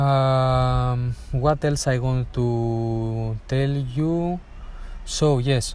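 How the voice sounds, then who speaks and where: A man with a non-native accent speaks at a medium pitch with ordinary pitch variation. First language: not English. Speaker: air traffic control exam coach. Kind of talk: tutorial. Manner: halting, many fillers.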